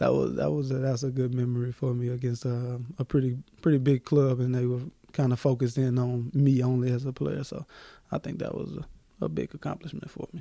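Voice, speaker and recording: At a fairly quick pace, a man with an American accent speaks in a dark, mellow tone, his medium pitch showing ordinary variation. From US South, Memphis, Tennessee. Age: 20s. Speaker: professional basketball player. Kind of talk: interview. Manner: halting, repeats words.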